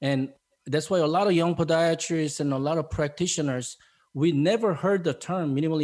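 Fairly quick speech in a Korean accent, with ordinary pitch variation and very even loudness. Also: man. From South Korea. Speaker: podiatrist and podcast host. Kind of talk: interview conversation. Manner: friendly, enthusiastic; hesitant, filler-heavy.

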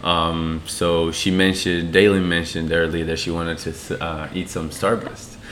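A man speaks at a moderate pace in a very deep, low voice, with hardly any pauses and a monotone, flat delivery over noticeable background noise. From Brazil, Sao Paulo. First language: Portuguese. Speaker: tennis coach. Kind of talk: casual chat.

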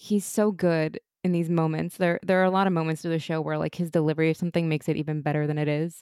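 A woman speaks at a very fast pace in a dark, mellow tone. Her pitch is fairly low, and her intonation stays monotone and flat. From Europe. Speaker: podcast host. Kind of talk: casual chat.

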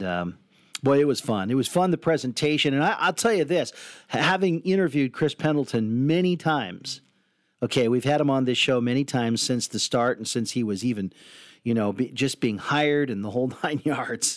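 In a plain, everyday voice, a man at medium pitch speaks at a moderate pace with lively intonation, captured on a very clean recording with a silent background. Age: 50s. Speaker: sports radio co-host. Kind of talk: casual chat.

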